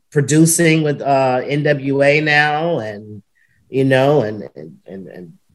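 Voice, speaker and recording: Her voice very deep and low, a woman speaks at a very slow pace with lively intonation and big swings in loudness. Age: 40s. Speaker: retired pro wrestler and wrestling school owner. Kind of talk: casual interview chat. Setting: video call.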